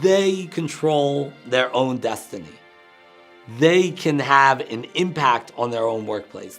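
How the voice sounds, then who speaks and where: With music in the background, a man at medium pitch speaks with lively intonation and big swings in loudness. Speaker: motivational speaker, coach, consultant. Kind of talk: interview answer.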